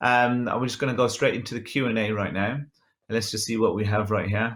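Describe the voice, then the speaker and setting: A man talks in a Birmingham accent with monotone, flat intonation. The background is quiet. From England. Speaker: photographer and photo editing instructor; photo editing instructor. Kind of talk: tutorial with live Q and A. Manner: casual, many filler ums. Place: home room. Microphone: webcam.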